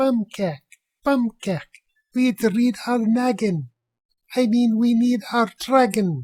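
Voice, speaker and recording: In a put-on character voice that is squeaky and fairly high-pitched, the speaker goes at a very slow pace with long, frequent pauses. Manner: excited, screaming.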